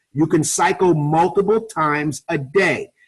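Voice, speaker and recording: The speaker has a New York accent. The sound is dry and close, with no echo. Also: man. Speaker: network marketing presenter, ex-police officer. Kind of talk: sales pitch. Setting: webinar call. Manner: fast.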